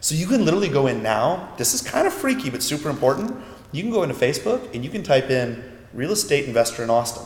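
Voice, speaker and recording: Over noticeable background noise, a man talks at a very fast pace. His pitch is fairly high, with very wide pitch swings. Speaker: internet marketing expert. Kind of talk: interview.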